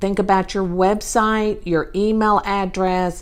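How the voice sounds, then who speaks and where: This is a woman with a Southern US accent. Her pitch sits in the medium range. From Texas. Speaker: podcast host, real estate business coach. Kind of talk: solo podcast talk. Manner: casual, with many fillers.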